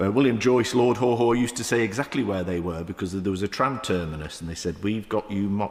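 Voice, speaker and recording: Ordinary pitch variation marks the voice of a man speaking in a Manchester accent. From south Manchester, England. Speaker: member of the House of Lords. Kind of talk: parliamentary debate speech. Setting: House of Lords chamber. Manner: halting, many fillers.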